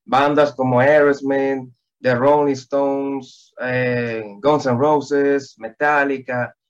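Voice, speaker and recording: A man's fairly high-pitched voice, very slow, with fairly even intonation. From Dominican Republic, Santo Domingo. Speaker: singer-songwriter. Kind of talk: interview.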